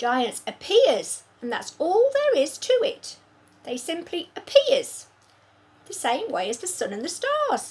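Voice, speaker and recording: A woman uses a put-on character voice at an extremely high pitch. She speaks at a fairly slow pace with very wide pitch swings. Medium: read story. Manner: rustic, jumbled grammar.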